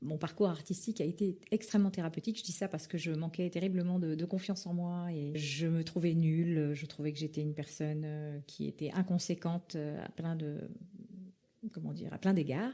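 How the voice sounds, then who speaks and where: At a moderate pace, a woman talks in a fairly low pitch with a dark, mellow tone. Her pitch varies an ordinary amount. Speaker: former actress, voice-over artist, public speaking coach. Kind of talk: interview answer. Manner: hesitant, conversational.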